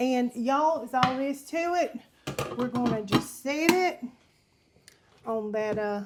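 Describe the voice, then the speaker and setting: A loud voice with a Southern US accent at a fairly slow pace, with long, frequent pauses, ordinary pitch variation and noticeable background noise. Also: woman, high pitch for a woman. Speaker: home cooking video host. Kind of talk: cooking tutorial. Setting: home kitchen. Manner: casual, chatty.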